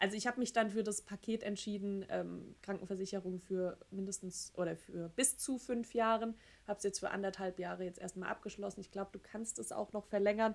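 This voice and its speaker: With an unremarkable speaking voice, a woman talks at a fairly quick pace and medium pitch. Her intonation stays fairly even, with hardly any pauses. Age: 30s. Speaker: podcast co-host. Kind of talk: casual chat.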